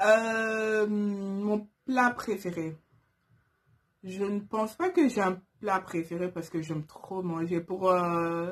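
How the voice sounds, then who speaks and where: A woman speaks at a medium pitch and a very slow pace. Her pitch varies in an ordinary way over a quiet background. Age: 20s. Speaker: YouTuber, turban stylist. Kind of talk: casual vlog Q&A. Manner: hesitant, many fillers.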